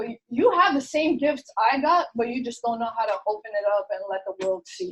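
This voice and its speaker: A woman's high, animated voice with lively intonation and hardly any pauses. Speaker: marketing business leader giving a motivational talk. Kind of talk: motivational talk. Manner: fast.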